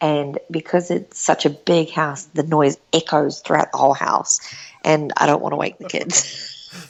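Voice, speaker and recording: A woman's quiet, raspy put-on character voice, very deep and low in pitch, with monotone, flat intonation at a moderate pace. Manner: talking quietly.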